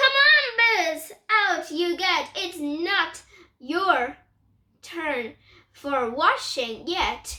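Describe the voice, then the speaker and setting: A woman does a put-on character voice at an extremely high pitch. She speaks very slowly. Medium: read story.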